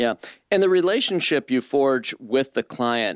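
At a moderate pace and with lively intonation, a man speaks in a normal speaking voice, recorded dry and close with no echo and very clean with a silent background. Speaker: radio host. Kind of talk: radio interview.

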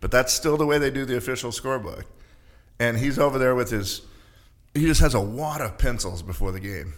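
A man speaks with an ordinary speaking voice at medium pitch. His pace is fairly quick and his intonation lively. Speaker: college sports arena announcer. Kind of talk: casual interview chat.

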